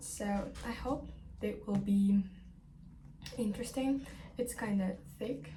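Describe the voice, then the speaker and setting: A woman at a fairly slow pace, with long, frequent pauses, audible room echo and noticeable background noise. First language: not English. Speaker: book vlogger. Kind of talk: casual vlog talk. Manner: halting, many fillers.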